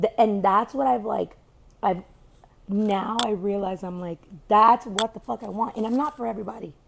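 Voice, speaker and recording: Over noticeable background noise, a woman with a fairly high pitch speaks at a moderate pace in an animated tone with ordinary pitch variation. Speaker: entrepreneur. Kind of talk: casual chat. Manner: loud.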